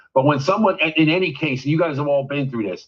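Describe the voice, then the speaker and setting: A man talks very fast at a fairly high pitch. His pitch varies in an ordinary way. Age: 60s. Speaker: media producer. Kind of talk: casual chat. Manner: animated; halting.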